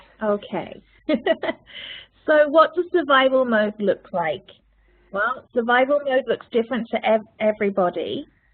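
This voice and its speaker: Speaking in a British accent, a woman has a high pitch and lively intonation. Her pace is fairly slow, with long, frequent pauses. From United Kingdom. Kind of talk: webinar presentation. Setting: virtual program.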